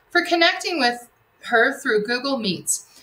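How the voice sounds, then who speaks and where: Her voice high, a woman speaks at a moderate pace with very wide pitch swings. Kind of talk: announcements to students. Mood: warm, encouraging. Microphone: webcam.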